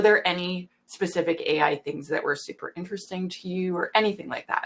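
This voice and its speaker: Here is a woman with a Canadian accent. She talks at a moderate pace. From Canada. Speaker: webinar moderator. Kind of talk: webinar fireside chat.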